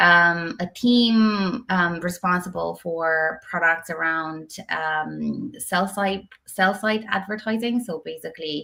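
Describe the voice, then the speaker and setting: A woman's fairly low, bright, sharp voice at a very slow pace, with hardly any pauses. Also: ordinary pitch variation. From Romania. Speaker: tech executive. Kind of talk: interview. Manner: hesitant, many fillers.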